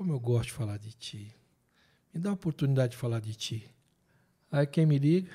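With a dark, mellow tone and a somewhat breathy quality, a man speaks at a fairly quick pace and fairly high pitch, his intonation lively, his loudness swinging widely and his pauses long and frequent, all in a very clean recording with a silent background. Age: 50s. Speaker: theologian and writer. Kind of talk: casual chat. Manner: animated.

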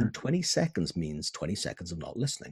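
A man with a Welsh accent talks at a fairly quick pace in a somewhat breathy voice. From Wales. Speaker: business consultant. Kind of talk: interview. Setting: home office.

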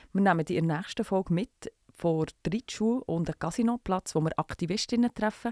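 A woman's fairly low, dark, mellow voice with lively intonation at a moderate pace, recorded very cleanly against a silent background with a dry, close sound and no echo. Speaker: podcast host. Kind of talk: scripted narration; casual chat.

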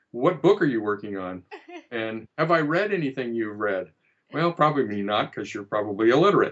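A man talks in a plain, everyday voice at a medium pitch. His intonation is lively and his pace fairly quick. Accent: American. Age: 60s. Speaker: fiction writer. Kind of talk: interview.

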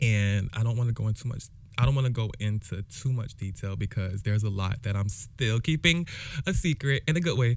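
Lively intonation marks this man's medium-pitched voice with an American accent. He speaks at a fairly quick pace on a very clean recording with a silent background. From Jacksonville, Florida. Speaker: podcast host. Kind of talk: casual solo monologue. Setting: home recording, alone. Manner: halting, with many fillers and restarts.

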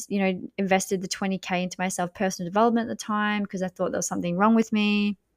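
A woman of medium pitch speaks with an Australian accent in a monotone, flat way on a very clean recording with a silent background. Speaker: podcast host and business coach. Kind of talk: casual monologue.

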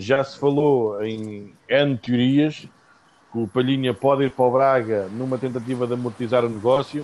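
A man with a European Portuguese accent, fairly even intonation and a moderate pace. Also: medium pitch for a man. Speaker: football podcast host. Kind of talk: casual chat.

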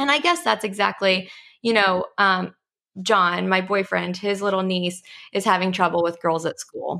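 It is an unremarkable speaking voice in a very clean recording with a silent background. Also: woman, medium pitch for a woman, ordinary pitch variation, moderate pace. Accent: American. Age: 20s. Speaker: pageant coaching business owner. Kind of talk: podcast interview.

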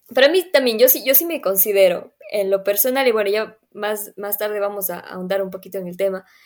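A woman speaks at a moderate pace with ordinary pitch variation and a medium pitch, on a very clean recording with a silent background. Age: 20s. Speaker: podcast co-host. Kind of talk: casual chat.

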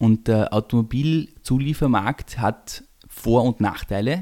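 Here a man has a plain, everyday voice, pitched at a medium level with ordinary pitch variation. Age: 30s. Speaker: family business executive. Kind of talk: interview. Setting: home kitchen.

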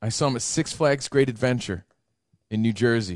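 An animated man at a moderate pace, ordinary pitch variation, dry, close sound with no echo. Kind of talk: casual banter, not stand-up. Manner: animated, riffing and bantering, crude jokes.

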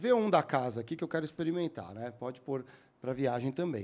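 A fairly quick pace with very wide pitch swings. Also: man. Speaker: podcast host. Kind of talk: casual podcast chat.

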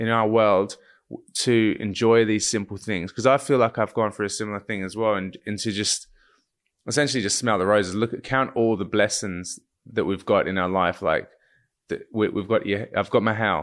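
In a very clean recording with a silent background, a man with an ordinary speaking voice talks at a moderate pace, with medium pitch and ordinary pitch variation. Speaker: podcast host. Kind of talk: casual interview.

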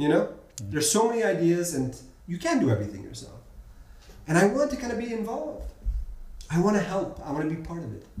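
With an American accent and noticeable background noise, a man with a high pitch talks at a very fast pace, taking long, frequent pauses, his pitch swinging very widely and his loudness shifting a lot. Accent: Gulf Arab English, American-schooled. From Bahrain. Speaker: entrepreneur and startup mentor. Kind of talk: casual interview.

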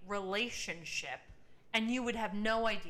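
A woman's bright, sharp tone comes through audible room echo. She keeps a moderate pace. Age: 30s. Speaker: podcast co-host. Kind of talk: casual chat. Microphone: echo on recording.

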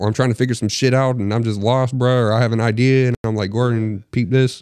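A man talks at a fairly quick pace. He has an ordinary speaking voice. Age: 20s. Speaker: podcast co-host. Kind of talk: casual chat.

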